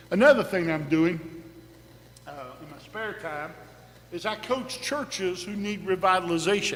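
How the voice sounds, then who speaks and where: A man speaks with long, frequent pauses, his pitch high for a man and ordinary in its variation. Audible room echo surrounds the voice. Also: moderate pace, big swings in loudness. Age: 60s. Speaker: pastor. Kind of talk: sermon.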